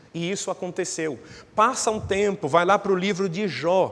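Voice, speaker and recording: The speech moves at a fairly slow pace. Audible room echo fills the recording. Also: man. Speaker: pastor. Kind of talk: sermon.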